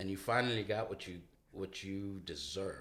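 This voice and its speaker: Putting on a raspy character voice, a man speaks at a moderate pace with fairly low pitch and fairly even intonation. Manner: menacing, taunting.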